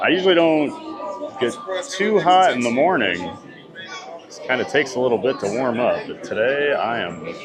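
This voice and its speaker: A man with an American accent speaks at a moderate pace in a fairly high pitch, his voice swinging very widely, with music in the background and audible room echo. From US Midwest, Iowa. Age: 40s. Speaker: theme park livestreamer. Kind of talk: live stream chat.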